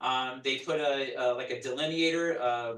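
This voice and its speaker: This man's voice sits at a fairly high pitch. His intonation is monotone and flat. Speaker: police community liaison officer. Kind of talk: community meeting presentation. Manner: fast.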